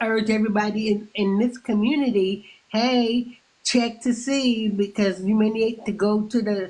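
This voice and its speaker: A woman's somewhat breathy, fairly high voice at a fairly slow pace, with fairly even intonation. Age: 60s. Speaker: caller on a livestream. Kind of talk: casual chat. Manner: halting, repeats words.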